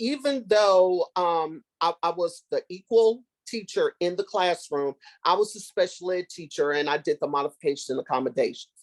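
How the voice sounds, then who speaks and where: An unremarkable speaking voice, a woman's, moves at a moderate pace with lively intonation and a dry, close sound with no echo. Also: medium pitch for a woman. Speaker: former special education teacher. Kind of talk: workshop discussion.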